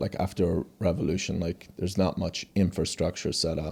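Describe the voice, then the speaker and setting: With a slight Persian accent, a man talks at a fairly quick pace in a very deep, low pitch, with a dark, mellow tone and monotone, flat intonation. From Iran (Tehran), raised in USA from age 7. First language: Farsi. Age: 40s. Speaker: company founder and CEO. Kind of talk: interview conversation. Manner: halting, many restarts.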